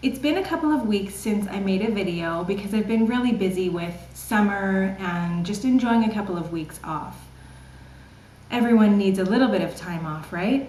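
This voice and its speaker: Speaking in a Canadian accent at a moderate pace, a woman uses a medium pitch with ordinary variation, and audible room echo surrounds her voice. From Canada, British Columbia. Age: 30s. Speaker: online English teacher. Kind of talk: casual vlog Q&A.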